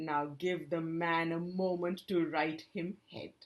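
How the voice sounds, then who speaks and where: A woman puts on a gruff character voice, speaking at a fairly slow pace with a fairly low pitch and monotone, flat intonation. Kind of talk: pirate talk. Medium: read story. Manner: gruff, whining.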